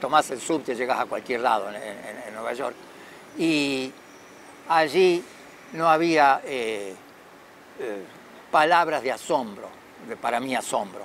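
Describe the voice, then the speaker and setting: Amid light background noise and a dry sound with no echo, a medium-pitched man speaks very slowly with lively intonation and long, frequent pauses. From Argentina, Córdoba. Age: 70s. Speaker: camera inventor and photography enthusiast. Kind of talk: interview monologue. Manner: hesitant, many fillers and repetitions. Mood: reflective, nostalgic. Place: garden. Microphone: phone near.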